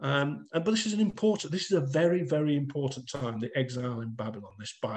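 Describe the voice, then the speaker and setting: Somewhat breathy, a man with a Lancashire accent talks at a very fast pace over light background noise. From northern England, Bolton; northern England. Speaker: author and masonic lecturer; masonic lecturer. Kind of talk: lecture. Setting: video call. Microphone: video call.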